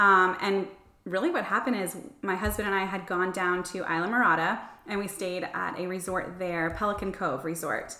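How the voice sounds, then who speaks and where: A woman with an American accent speaks at a moderate pace and a medium pitch, with fairly even intonation, amid noticeable background noise and audible room echo. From Florida. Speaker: travel and lifestyle blogger. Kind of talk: casual interview chat.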